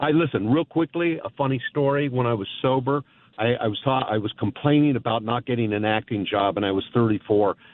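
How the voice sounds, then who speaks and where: In an unremarkable speaking voice, a man talks at a medium pitch with ordinary pitch variation and very even loudness. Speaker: caller. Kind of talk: casual chat. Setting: phone call.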